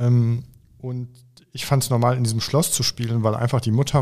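The speaker is a man with a medium pitch and a somewhat breathy voice. He keeps a moderate pace and fairly even intonation. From Germany, Oberbergischer Kreis near Cologne. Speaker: author. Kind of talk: interview conversation.

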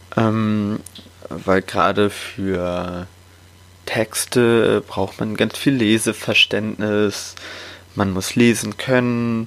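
Intonation stays fairly even as the speech moves at a very slow pace, broken by long, frequent pauses. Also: man, fairly low pitch for a man. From Hamburg, northern Germany. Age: 20s. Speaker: podcast host and coach. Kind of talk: podcast intro monologue.

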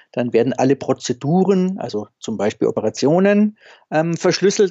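With an unremarkable speaking voice, a man talks at a moderate pace with lively intonation. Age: 50s. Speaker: anesthesiologist, senior hospital doctor. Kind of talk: interview.

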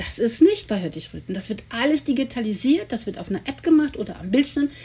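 An ordinary speaking voice from a woman, fairly high in pitch, with lively intonation and a fairly quick pace. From Germany, Cologne. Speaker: sled dog musher and expedition guide. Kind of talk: interview.

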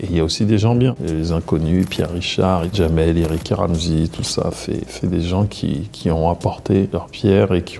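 Over noticeable background noise, a man talks at a fairly slow pace in a very deep, low pitch with ordinary pitch variation. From Paris region, France. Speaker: actor and filmmaker. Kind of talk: interview testimony. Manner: casual, hesitant with repetitions.

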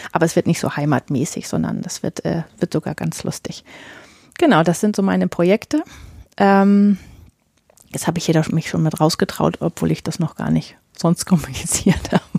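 Vocal fry marks this woman's fairly low, dark, mellow voice, with ordinary pitch variation at a moderate pace. The sound is dry and close, with no echo. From northern Germany. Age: 40s. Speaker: podcast host and romance novelist. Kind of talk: solo podcast monologue. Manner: many filler sounds.

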